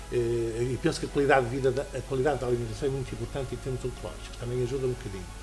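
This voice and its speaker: Music plays in the background as a man speaks at a very fast pace with hardly any pauses, with audible room echo. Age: 60s. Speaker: cancer survivor. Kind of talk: testimony.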